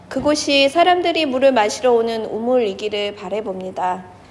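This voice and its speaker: Over noticeable background noise, a woman talks at a moderate pace in a fairly high pitch with lively intonation. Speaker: pastor. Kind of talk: sermon. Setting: church.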